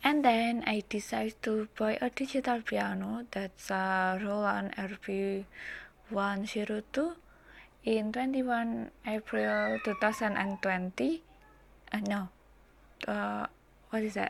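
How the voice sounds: A woman's slow speech with vocal fry and fairly even intonation. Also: medium pitch for a woman.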